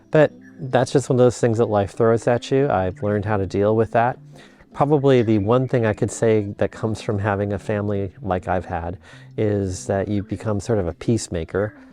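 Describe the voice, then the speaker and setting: A man with an American accent at a fairly low pitch, moderate pace and ordinary pitch variation, with music in the background. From US Midwest (Minnesota, Illinois). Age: 60s. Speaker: psychology professor. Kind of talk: personal vlog reflection. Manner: casual, with filler words.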